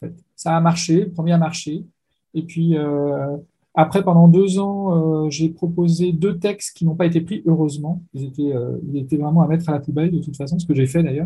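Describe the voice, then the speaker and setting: Pitched high, a man speaks with a dark, mellow tone. His intonation is fairly even and his pace moderate. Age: 50s. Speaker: science fiction author. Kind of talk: interview.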